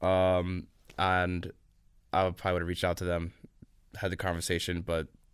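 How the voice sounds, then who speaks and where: A man with an American accent and a very deep, low pitch speaks at a moderate pace in a monotone, flat way, at very even loudness, with long, frequent pauses, on a very clean recording with a silent background. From New York, US. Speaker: venture capital investor. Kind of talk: podcast interview. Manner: casual, filler-heavy.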